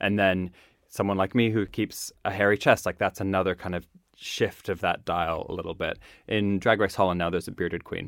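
A man with a very deep, low voice and a Maritime Canadian accent, monotone and flat, on a very clean recording with a silent background. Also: fairly quick pace. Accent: Canadian (Maritimes). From Canada, Nova Scotia. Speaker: drag queen. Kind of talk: casual chat.

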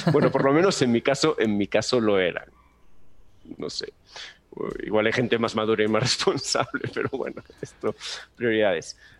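A man with a Galician accent talks at medium pitch and a moderate pace, with ordinary pitch variation and long, frequent pauses. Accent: Peninsular Spanish, Galician. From Galicia, Spain. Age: 30s. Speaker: animation teacher. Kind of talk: casual interview.

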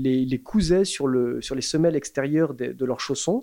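A man with a fairly high pitch, a dark, mellow tone and a moderate pace. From France, Paris. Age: 40s. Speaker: shoe brand founder. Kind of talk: casual interview. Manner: hesitant, many fillers.

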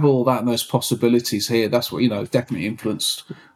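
A man with a Birmingham accent speaks at a very fast pace. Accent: Birmingham (Brummie) English. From Birmingham, England. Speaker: techno producer and DJ. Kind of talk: casual interview.

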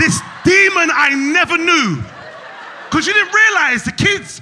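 A man speaks in a raised, projected voice with an animated tone and extremely high pitch. His pitch swings very widely over noticeable background noise. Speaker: stand-up comedian. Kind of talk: stand-up comedy set with crowd work and storytelling bits. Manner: animated, punchy, conversational joke delivery.

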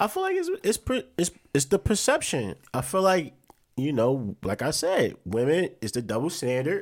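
At a moderate pace, a man with a fairly high pitch swings his voice very widely up and down. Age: 20s. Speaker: podcast co-host. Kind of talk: casual chat.

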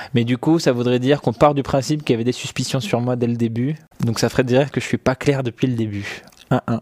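Speaking at a very fast pace, a man holds a medium pitch and fairly even intonation in a dry, close sound with no echo. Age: 20s. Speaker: tech journalist hosting a livestream. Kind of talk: casual live stream chat with viewers. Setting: live stream studio setup. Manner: hesitant, many fillers and repetitions.

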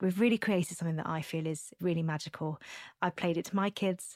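A woman with a plain, everyday voice and a fairly low pitch speaks with fairly even intonation on a very clean recording, dry and close with no echo and a silent background. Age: 30s. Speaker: podcast host. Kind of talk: casual chat; promotional read.

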